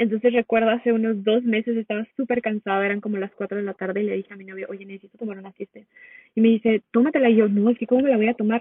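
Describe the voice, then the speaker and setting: Words come out very fast. The delivery stays monotone and flat. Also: woman, fairly high pitch for a woman. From Mexico. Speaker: holistic nutrition coach. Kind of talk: casual interview chat.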